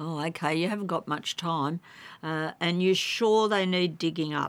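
In a very clean recording with a silent background, the speaker talks at a fairly slow pace with ordinary pitch variation and an Australian accent. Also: woman. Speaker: gardening expert. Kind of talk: radio talkback. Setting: studio.

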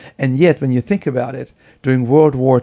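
In a German accent, a man speaks at a medium pitch with a dark, mellow tone. The sound is dry and close with no echo. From Germany. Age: 70s. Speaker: professor of preventive medicine. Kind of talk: interview.

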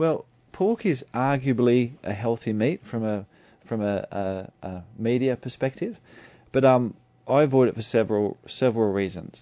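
Speaking at a medium pitch, a man keeps a moderate pace and ordinary pitch variation. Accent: Australian. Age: 40s. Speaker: naturopath. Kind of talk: radio interview.

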